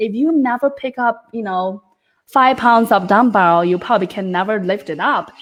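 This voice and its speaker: At a moderate pace, a woman speaks at a fairly high pitch with lively intonation. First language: not English. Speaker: book club co-host. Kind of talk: casual book discussion. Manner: animated.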